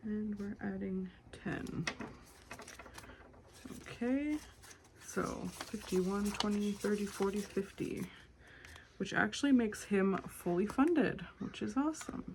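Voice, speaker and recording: A woman's medium-pitched voice with ordinary pitch variation and long, frequent pauses, over noticeable background noise. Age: 20s. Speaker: budgeting content creator. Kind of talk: casual talk to camera.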